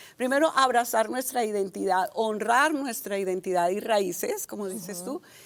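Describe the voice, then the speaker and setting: Her tone animated, a woman speaks at a moderate pace and fairly high pitch with ordinary pitch variation. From Colombia, Barranquilla. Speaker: communication and public speaking coach. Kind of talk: casual chat.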